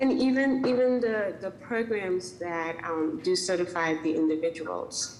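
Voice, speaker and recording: A woman at a fairly slow pace with lively intonation, amid audible room echo and noticeable background noise. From West Indies. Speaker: small business owner. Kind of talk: public meeting comment. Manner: hesitant, many fillers.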